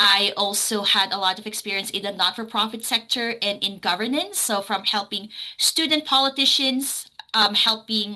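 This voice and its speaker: A woman talks at a fairly high pitch. Noticeable background noise sits behind her voice. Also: ordinary pitch variation, moderate pace. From Philippines. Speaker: city council candidate. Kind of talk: candidate introduction at a forum.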